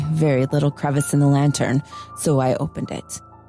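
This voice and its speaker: With music in the background, a woman talks at a fairly quick pace. Her pitch is very deep and low. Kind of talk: dramatic story reading.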